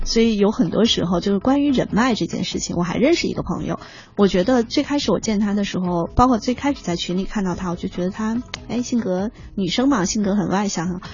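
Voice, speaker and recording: At a fairly quick pace, a woman speaks in a normal speaking voice with ordinary pitch variation. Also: medium pitch for a woman. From China, outside Beijing. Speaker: human resources consultant. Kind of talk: radio interview. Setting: radio studio.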